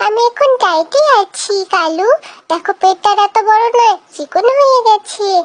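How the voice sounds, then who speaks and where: A cartoonish character voice at an extremely high pitch and a fairly slow pace. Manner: boastful, cheeky.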